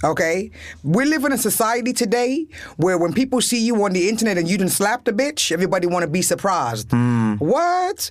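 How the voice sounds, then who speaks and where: Her loudness stays very even while this woman's pitch swings very widely. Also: medium pitch for a woman, moderate pace. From New York City. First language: English (speaking German). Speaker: comedian. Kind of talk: casual chat. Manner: energetic.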